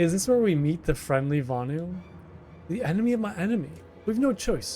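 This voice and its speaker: Over music in the background, a man with a fairly high voice makes very wide pitch swings. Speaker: video game streamer; student. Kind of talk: live gameplay commentary. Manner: fast; stumbles over words.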